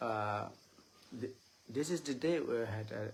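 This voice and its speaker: A man with an Indian accent speaks at a very slow pace, his voice somewhat breathy. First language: Chakma. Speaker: Buddhist monk giving a Dhamma talk. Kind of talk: live-streamed dharma talk. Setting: Facebook live stream. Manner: halting, many filler sounds.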